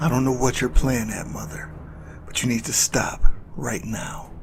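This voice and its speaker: A man puts on a character voice at a medium pitch, with clear background noise behind him. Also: moderate pace. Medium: audio drama. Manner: earnest, protective.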